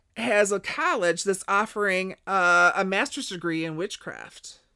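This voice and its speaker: A woman with an American accent and a normal speaking voice talks at a fairly slow pace with hardly any pauses, her pitch medium. The recording is very clean, the background silent. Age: 60s. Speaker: paranormal podcast host. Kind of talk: casual interview chat.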